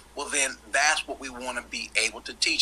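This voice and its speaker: A man's voice at a moderate pace over noticeable background noise. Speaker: debate panelist. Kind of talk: panel debate. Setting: video call.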